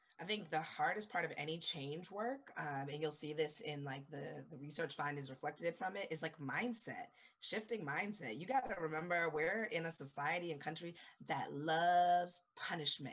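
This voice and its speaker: Speaking at a moderate pace, a woman with a fairly low voice uses lively intonation. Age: 30s. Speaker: education company founder. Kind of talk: casual chat.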